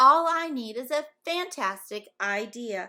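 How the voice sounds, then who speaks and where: A woman uses a put-on character voice at a high pitch and a fairly slow pace. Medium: read story. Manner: enthusiastic.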